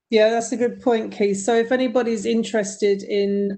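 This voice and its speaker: Against a quiet background, a woman speaks in a British accent. Her tone is dark and mellow and her pace moderate. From United Kingdom. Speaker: university faculty. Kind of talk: virtual meeting.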